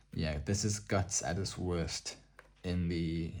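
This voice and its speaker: A soft-spoken man with a very deep, low pitch and a dark, mellow, somewhat breathy tone speaks at a very slow pace. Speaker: ASMR artbook presenter. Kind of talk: soft-spoken ASMR artbook showcase.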